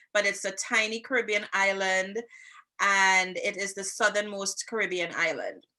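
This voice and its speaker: The tone is bright and sharp. The speaker has a Trinidadian accent. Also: woman. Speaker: podcast co-host, social worker and relationship coach. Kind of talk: casual chat.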